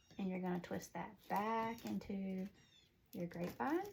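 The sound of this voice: A woman with a Southern US accent talks at a slow pace in a medium pitch, her slightly mellow tone carrying a slightly husky edge, vocal fry and lively intonation.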